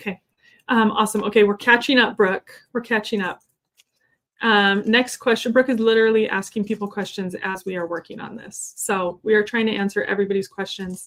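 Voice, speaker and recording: A woman speaks fairly quickly at a fairly high pitch with fairly even intonation. Her loudness swings widely. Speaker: online Q&A host reading viewer questions. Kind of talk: live Q&A stream. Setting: live stream. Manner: fast.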